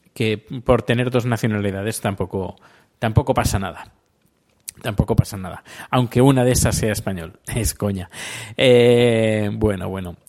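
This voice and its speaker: Fairly even intonation accompanies a fairly slow delivery. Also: man, fairly low pitch for a man. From Spain. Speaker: podcaster. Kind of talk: casual monologue. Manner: halting.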